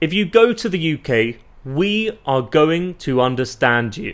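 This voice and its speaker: With a British accent, a man speaks at a fairly high pitch that swings very widely. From UK. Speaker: English teacher. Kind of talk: tutorial. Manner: clear and deliberate.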